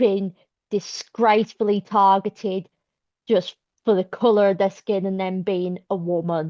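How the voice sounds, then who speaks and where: Her voice has a medium pitch. The intonation stays monotone and flat. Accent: Birmingham. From South Birmingham, England. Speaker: activist. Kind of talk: public meeting speech.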